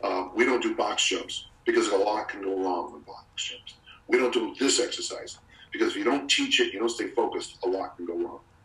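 A man talks at a fairly quick pace with big swings in loudness. Room echo is audible throughout. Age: 60s. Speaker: strength coach and author. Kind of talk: casual interview.

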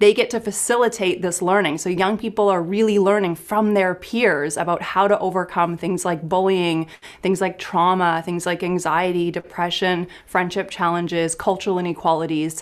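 With an ordinary speaking voice at a medium pitch, a woman talks at a moderate pace in fairly even intonation, with hardly any pauses. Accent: Canadian. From Canada, small town. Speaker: clinical psychologist. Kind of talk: interview conversation.

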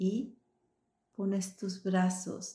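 A somewhat breathy woman's voice, dark and mellow in tone, soothing and gentle, with flat, monotone intonation. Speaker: meditation guide and coach. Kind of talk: guided meditation. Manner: slow, soothing, gentle, calm; warm, encouraging, intimate.

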